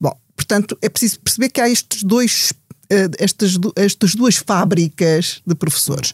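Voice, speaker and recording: A woman's somewhat breathy, medium-pitched voice moves at a fairly slow pace with ordinary pitch variation. The loudness stays very even, and the sound is dry and close with no echo. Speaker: statistician and university lecturer. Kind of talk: panel discussion. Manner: halting, many fillers and repetitions.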